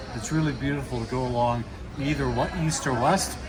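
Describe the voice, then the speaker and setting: A man at a medium pitch talks at a moderate pace with ordinary pitch variation, amid audible room echo and noticeable background noise. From western Canada, Vancouver. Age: 60s. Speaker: expat cyclist. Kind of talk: casual outdoor interview.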